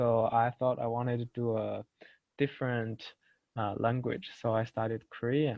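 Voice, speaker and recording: Here a man speaks with a Chinese accent at a fairly slow pace. His medium pitch stays monotone and flat. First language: Mandarin Chinese. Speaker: university student. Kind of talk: student presentation. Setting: webinar.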